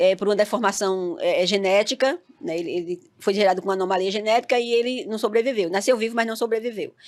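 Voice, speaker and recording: A woman talks at a very fast pace with hardly any pauses, in a northeastern Brazilian accent. Her pitch is fairly high with ordinary variation, on a very clean recording with a silent background. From Northeast Brazil, Campina Grande, Paraíba. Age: 50s. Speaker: reality TV participant. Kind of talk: interview.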